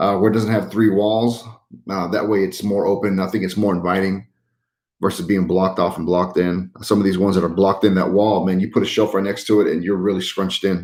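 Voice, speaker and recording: Delivered at a very fast pace, the speech has fairly even intonation and an American accent. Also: man, fairly low pitch for a man. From Utah. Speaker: YouTuber who trash picks and resells. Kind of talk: livestream chat answering viewers. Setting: live stream. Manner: casual, many fillers.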